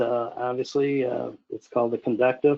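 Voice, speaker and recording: At a moderate pace, a man talks in a monotone, flat way at a medium pitch. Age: 70s. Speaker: aircraft company founder and designer. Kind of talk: Q&A talk at club meeting. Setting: video call. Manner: halting, many fillers and repeats.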